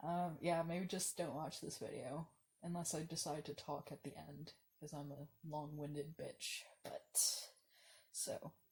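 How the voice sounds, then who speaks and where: A woman speaks at a fairly slow pace, somewhat breathy, with fairly even intonation. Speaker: video diarist. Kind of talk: casual vlog monologue. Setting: lying down. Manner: halting.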